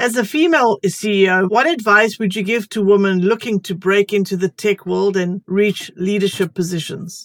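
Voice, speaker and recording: Here is a woman with an unremarkable speaking voice at a medium pitch, using ordinary pitch variation. She keeps a moderate pace with hardly any pauses, and the sound is dry and close with no echo. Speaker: podcast host. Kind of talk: interview.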